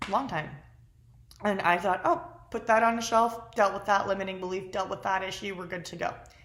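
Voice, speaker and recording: Her tone animated, a woman talks at a fairly quick pace with ordinary pitch variation and big swings in loudness, with audible room echo. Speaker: lifestyle vlogger. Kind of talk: casual vlog monologue.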